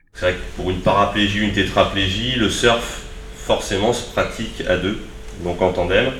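A man talks at a moderate pace, his pitch varying in an ordinary way, with audible room echo and noticeable background noise around him. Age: 30s. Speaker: surfer and adaptive surfing instructor. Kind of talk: talk to school pupils. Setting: school visit with pupils.

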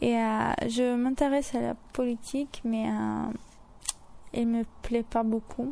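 This woman speaks very slowly. Her speech has long pauses that come often. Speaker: university student. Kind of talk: interview.

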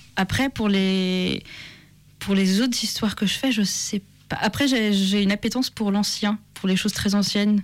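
A woman with a plain, everyday voice, medium pitch, fairly even intonation, very even loudness and a fairly slow pace. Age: 20s. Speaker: author. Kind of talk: interview.

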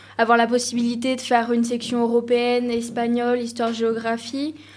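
Amid audible room echo, a woman with a high pitch speaks at a moderate pace. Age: 20s. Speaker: law student. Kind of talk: casual chat.

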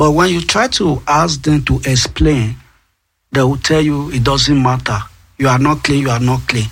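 In a Nigerian accent, a man speaks very slowly at medium pitch, with ordinary pitch variation and very even loudness. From Nigeria, Edo State. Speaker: asylum seeker and artist. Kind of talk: interview testimony. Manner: halting, mixes French and English.

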